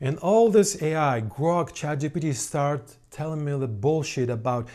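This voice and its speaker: The recording is very clean, with a silent background. On it, a man talks with a non-native accent. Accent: foreign-accented English. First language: not English. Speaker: synth producer and YouTuber. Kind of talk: casual vlog monologue. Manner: halting; animated.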